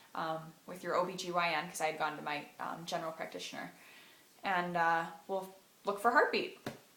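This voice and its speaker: Fairly low in pitch, a woman speaks at a moderate pace with fairly even intonation. Audible room echo surrounds her voice. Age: 20s. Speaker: vlogger sharing personal story. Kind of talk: personal testimony vlog. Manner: hesitant with frequent fillers.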